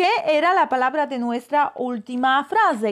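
A high-pitched woman's voice over a quiet background. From Poland. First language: Polish (speaking Spanish). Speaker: language teacher. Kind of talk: live online class. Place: home room. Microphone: phone near.

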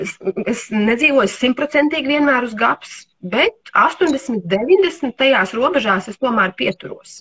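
With lively intonation and big swings in loudness, a woman talks at a high pitch over a quiet background. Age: 50s. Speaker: homeopath and nutrition therapist; livestream host on nutrition. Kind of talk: casual interview.

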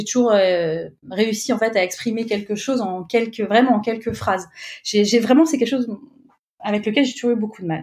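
A woman with an unremarkable speaking voice talks at a fairly high pitch. Her pace is moderate and her pitch variation ordinary. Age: 30s. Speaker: UX writer. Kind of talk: interview. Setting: remote recording.

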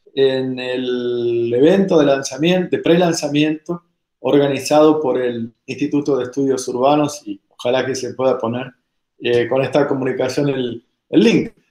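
A man talks at a fairly slow pace with fairly even intonation and a dark, mellow tone. Room echo is audible, though the background stays quiet. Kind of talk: recorded video message. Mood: warm, cordial. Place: home room. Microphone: webcam.

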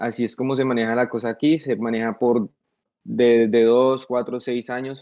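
The intonation is monotone and flat. The background is quiet. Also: man, moderate pace. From Colombia, Bogotá. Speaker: soldier, war veteran; podcast guest. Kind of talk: casual interview. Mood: relaxed, storytelling. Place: home room. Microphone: video call.

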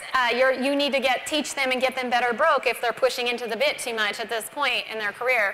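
A woman with a high-pitched voice talks at a fairly quick pace with hardly any pauses and a monotone, flat intonation. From Montana. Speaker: barrel racer and horsemanship clinician; presenter. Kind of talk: tutorial. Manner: halting. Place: stage. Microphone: lapel.

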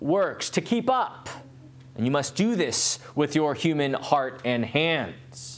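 A man speaks fairly slowly, his pitch swinging very widely. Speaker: pastor. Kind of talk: sermon. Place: church.

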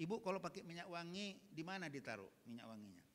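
A man speaks at a moderate pace. His tone is animated. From Medan, North Sumatra (Batak); North Sumatra, Indonesia. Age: 60s. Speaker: Islamic preacher, retired diplomat; Islamic preacher. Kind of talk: sermon to women's study group. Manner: animated, direct, joking with audience. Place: church. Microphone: handheld.

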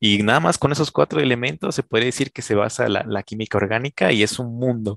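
At a very fast pace, a man speaks with a medium pitch and ordinary pitch variation, the sound dry with no echo against a quiet background. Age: 20s. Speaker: chemist; guest. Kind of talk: casual chat. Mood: friendly, smiling explanatory. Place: home room. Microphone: headset.

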